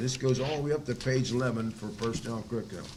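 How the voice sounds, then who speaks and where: Audible room echo surrounds a man talking at a very fast pace in an American accent with ordinary pitch variation. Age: 80s+. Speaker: school board member chairing meeting. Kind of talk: public meeting. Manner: halting, many fillers.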